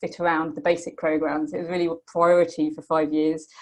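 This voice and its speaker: This woman talks at a very fast pace with a British accent. Her pitch is fairly low. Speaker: Buddhist study programme graduate. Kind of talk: testimony. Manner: hesitant with many fillers.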